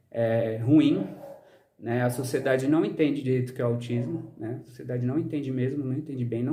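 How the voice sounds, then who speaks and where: A man at medium pitch talks at a fairly quick pace, with audible room echo. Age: 30s. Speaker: social scientist and vlogger. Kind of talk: personal vlog monologue. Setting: outdoors in the sun. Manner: frequent fillers, hesitant.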